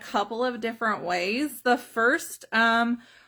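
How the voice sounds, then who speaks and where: Speaking at a fairly slow pace, a woman with a Southern US accent has a bright, sharp tone and a fairly high pitch. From US South, South Carolina. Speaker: direct sales trainer. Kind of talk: live stream training. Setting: Facebook live video.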